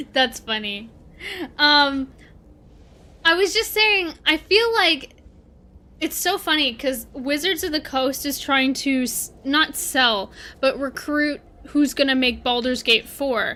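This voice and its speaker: A woman projects a raised, high-pitched voice with a bright, sharp tone and lively intonation, moving at a very slow pace with long, frequent pauses. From Canada. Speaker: gaming streamer. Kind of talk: casual livestream chat. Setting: livestream. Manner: animated.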